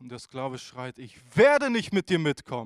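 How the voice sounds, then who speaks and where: The delivery is animated and dramatic at a moderate pace. The sound is dry and close, with no echo. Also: man. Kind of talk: sermon with a storytelling parable. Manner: animated, earnest preacher's delivery with rhetorical questions and dramatic emphasis; conversational and direct, addressing the congregation.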